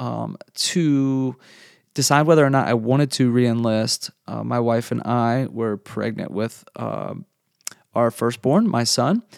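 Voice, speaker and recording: In a dry, close sound with no echo, a man with an ordinary speaking voice talks fairly slowly at medium pitch with ordinary pitch variation. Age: 30s. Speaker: podcast host, father and former Air Force member. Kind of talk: solo monologue introduction. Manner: casual with frequent fillers and repetitions.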